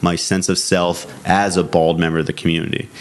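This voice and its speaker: A man with an American accent speaks at a very deep, low pitch and a moderate pace. His intonation is monotone and flat, with noticeable background noise. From Massachusetts. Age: 20s. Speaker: film producer and director. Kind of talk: interview.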